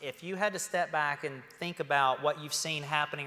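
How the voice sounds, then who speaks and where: Against noticeable background noise, a man with a West Virginia accent speaks at a fairly high pitch. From West Virginia, Huntington area. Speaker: panel moderator, former tech CEO. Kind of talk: panel moderation.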